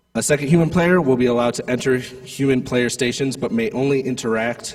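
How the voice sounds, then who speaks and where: A man speaks at a fairly quick pace. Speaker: head referee at a robotics competition. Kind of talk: rules briefing to competitors. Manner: casual, filler-heavy.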